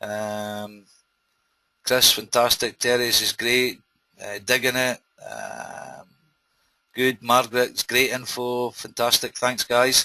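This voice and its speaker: A man with a Scottish accent speaks very slowly at medium pitch, his intonation monotone and flat and his tone bright and sharp. His loudness swings widely, he takes long, frequent pauses, and the sound is dry and close with no echo. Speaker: webinar host, internet marketer. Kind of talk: live webinar presentation. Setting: online webinar.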